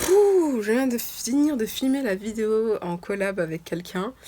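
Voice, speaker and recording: The pitch swings very widely as she talks. This woman keeps a fairly slow pace. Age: 20s. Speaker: lifestyle vlogger. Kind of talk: casual vlog talk. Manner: halting, many fillers.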